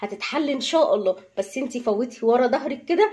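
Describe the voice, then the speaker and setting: A woman at a high pitch and a moderate pace. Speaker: housewife vlogger. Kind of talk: casual vlog chat. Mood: earnest, heartfelt. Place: kitchen. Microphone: phone near.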